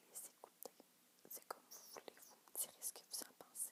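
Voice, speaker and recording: A woman is whispering. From Quebec. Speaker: ASMR youtuber. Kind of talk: casual chat to camera. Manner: soft-spoken; halting.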